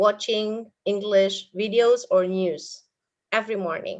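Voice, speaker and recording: With an Indonesian accent, a woman with a fairly high pitch speaks at a fairly slow pace. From Indonesia, Purwokerto area (Banyumas). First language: Indonesian (Banyumas ngapak dialect). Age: 40s. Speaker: English teacher. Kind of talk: webinar talk.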